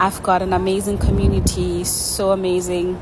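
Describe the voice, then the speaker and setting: Medium pitch from a female speaker, with noticeable noise in the background. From South Africa. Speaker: vlogger. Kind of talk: casual vlog narration.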